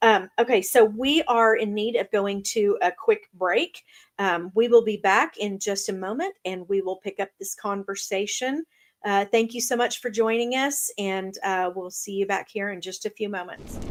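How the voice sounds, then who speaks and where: A woman speaks in an unremarkable speaking voice at a moderate pace, with a medium pitch and ordinary pitch variation. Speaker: co-host of a talk show. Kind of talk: talk show hosting, conversational.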